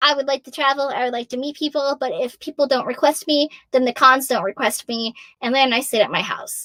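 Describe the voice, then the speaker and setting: A woman with an American accent speaks at a high pitch and fairly quick pace in an animated tone, her voice raised and projected with big swings in loudness, on a very clean recording with a silent background and a dry, close sound with no echo. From US Northeast (Massachusetts). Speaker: voice actor. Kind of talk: live Q&A chat. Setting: livestream event.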